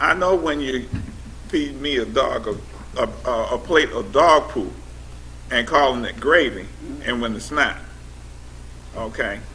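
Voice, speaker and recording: A man speaks at a fairly slow pace with long, frequent pauses. Background noise is noticeable. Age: 70s. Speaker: panelist sharing life experience. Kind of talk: panel discussion. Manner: animated.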